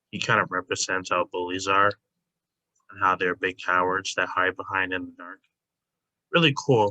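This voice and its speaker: A quiet man with a very deep, low voice and a bright, sharp tone, at a moderate pace, in a dry, close sound with no echo. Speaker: YouTuber ranking anime characters. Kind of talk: casual tier list commentary. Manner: hesitant, many fillers.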